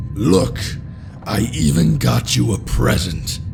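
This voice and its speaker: A man talks in a put-on character voice at a fairly slow pace. Background noise is clearly audible. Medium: read story. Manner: goofy, excited.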